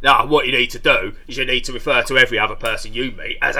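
A man talks at a very fast pace in a gruff tone. It is a put-on character voice.

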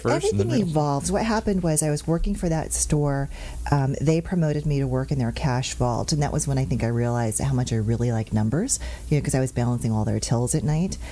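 The woman speaks at a very fast pace with lively intonation. Her loudness stays very even. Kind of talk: conversational, relaxed.

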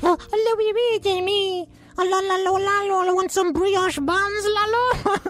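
Delivered at a moderate pace, this put-on character voice sits at an extremely high pitch over clear background noise.

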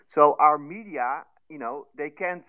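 A man's voice, fairly high in pitch. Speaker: listener participant. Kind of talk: casual discussion. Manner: halting.

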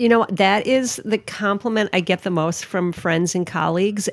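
A woman speaks with an Upper Midwest accent. Her intonation is fairly even. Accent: Upper Midwest (Minnesota). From Minnesota, Twin Cities (Roseville). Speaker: magazine editor. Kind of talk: interview.

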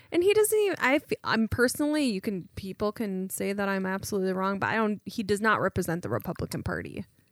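A woman at a medium pitch talks at a very fast pace, the sound dry and close with no echo. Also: ordinary pitch variation. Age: 30s. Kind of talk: casual chat.

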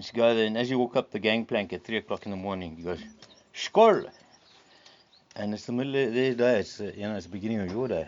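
A man at medium pitch speaks at a very fast pace with ordinary pitch variation. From South Africa, Eastern Cape (East London). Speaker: artist and hunter. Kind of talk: casual chat. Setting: outdoors.

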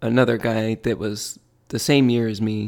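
A man talks in a normal speaking voice. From Michigan. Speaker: podcast co-host. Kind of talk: casual chat.

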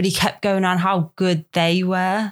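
Speaking with a Liverpool accent, a woman has a fairly low pitch. She goes at a fairly slow pace with flat, monotone intonation. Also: very clean recording, silent background. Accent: Scouse. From Liverpool, England. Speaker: photography model. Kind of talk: casual podcast interview.

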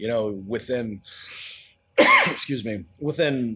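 With ordinary pitch variation, a man talks at a moderate pace in an ordinary speaking voice of medium pitch. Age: 40s. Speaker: chef and pizzeria owner. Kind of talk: interview.

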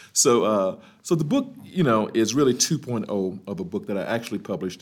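A man with an American accent talks at a fairly quick pace with lively intonation in an unremarkable speaking voice. The recording is very clean, with a silent background. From US South, Birmingham, Alabama. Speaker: HR executive and author. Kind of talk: interview. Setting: live at a conference venue.

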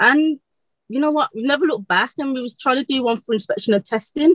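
The speaker has a strong Birmingham accent and talks at a fairly quick pace. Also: woman. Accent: Birmingham (Brummie), very strong. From Birmingham, England. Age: 20s. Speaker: electrician apprentice. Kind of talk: casual interview chat. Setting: video call. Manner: fast talker.

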